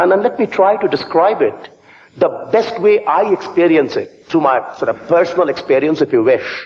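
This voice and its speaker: Speaking at a moderate pace with an Indian accent, a man is heard over noticeable background noise. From eastern India, Calcutta. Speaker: business school professor. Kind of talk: conference speech. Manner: animated.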